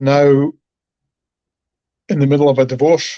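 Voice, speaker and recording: A man speaks very slowly in a flat monotone, his pitch fairly high and his tone dark and mellow. He has a slight Scottish accent, and the sound is dry and close with no echo. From Scotland. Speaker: stroke survivor. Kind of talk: interview.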